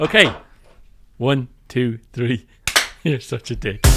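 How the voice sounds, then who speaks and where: With music in the background, a man of medium pitch talks at a very slow pace in a fairly even intonation. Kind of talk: casual podcast conversation.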